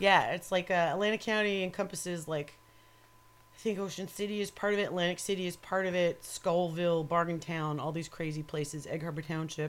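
A woman has an ordinary speaking voice, fairly low in pitch, in an American accent. She talks at a fairly quick pace with fairly even intonation. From New York. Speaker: metal photographer. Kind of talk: casual chat. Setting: home studio. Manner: profane, joking.

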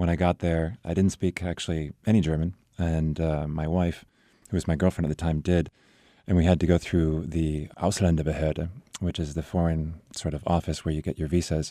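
The voice has a dark, mellow tone and an American accent, delivered at a moderate pace in a monotone, flat intonation. The sound is dry and close with no echo, and the recording is very clean with a silent background. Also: man, very deep, low pitch for a man. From California. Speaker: American expat and English teacher. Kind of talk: radio interview.

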